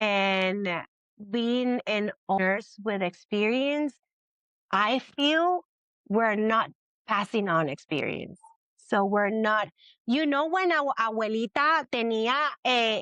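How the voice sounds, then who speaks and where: In a Spanish accent, the speaker goes at a very slow pace with long, frequent pauses, lively intonation and a bright, sharp tone, the sound dry and close with no echo. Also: woman, fairly high pitch for a woman. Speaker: labor and delivery nurse. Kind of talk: interview. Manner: halting.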